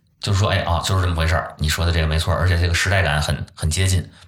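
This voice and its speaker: Against noticeable background noise, a man with a very deep, low voice talks at a very fast pace with fairly even intonation. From Beijing. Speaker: folk culture enthusiast. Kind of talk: casual chat.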